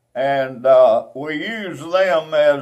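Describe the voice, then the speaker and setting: This man talks at a very slow pace with an Alabama accent. His pitch sits fairly high. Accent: Southern US (Alabama). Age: 80s+. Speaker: former eagle scout. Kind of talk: oral history storytelling. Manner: halting, with many fillers.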